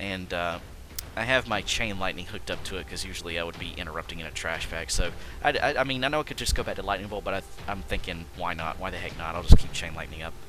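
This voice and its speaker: Over music in the background, a man speaks at a very deep, low pitch and a very fast pace. His intonation is lively, and his loudness swings widely. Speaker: gaming video creator. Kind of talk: gameplay commentary. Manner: stuttering, many fillers.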